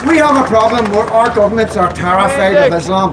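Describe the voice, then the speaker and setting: A fairly quick voice in a Belfast accent, with audible room echo and noticeable background noise. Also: man. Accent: Belfast Northern Irish. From Northern Ireland, Belfast. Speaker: activist speaker. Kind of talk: rally speech. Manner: emphatic.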